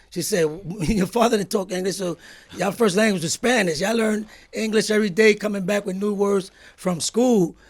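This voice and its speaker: Noticeable background noise behind a man's high voice, fairly quick and fairly even in intonation. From Brooklyn, New York (Fort Greene), Puerto Rican family. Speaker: guest recalling life story. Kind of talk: casual interview chat. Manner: fast.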